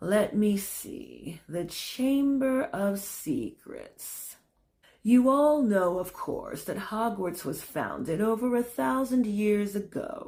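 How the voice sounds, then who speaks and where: Using a put-on character voice that sounds wheezy, a woman speaks at a very slow pace and medium pitch in a very clean recording with a silent background. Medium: read story. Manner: flat drone, slow.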